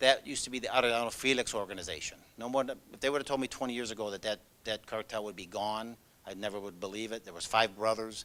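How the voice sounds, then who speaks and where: A man with a Chicago accent talks at a very fast pace and medium pitch, his tone bright and sharp. His intonation stays fairly even while his loudness swings widely. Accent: Chicago American English. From US Midwest, Chicago. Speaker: law enforcement agent. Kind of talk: presentation.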